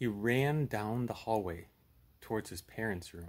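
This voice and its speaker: The man talks at a fairly slow pace, his pitch shifting in an ordinary way. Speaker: storyteller with puppet. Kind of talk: storytelling. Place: home room. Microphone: phone near.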